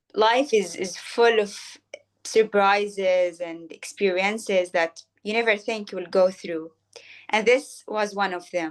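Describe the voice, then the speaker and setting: A woman with a non-native accent talks at a fairly slow pace and a medium pitch. Her intonation stays fairly even, but her volume rises and falls a lot. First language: not Arabic. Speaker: poetry program co-leader. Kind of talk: interview conversation. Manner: hesitant, many fillers.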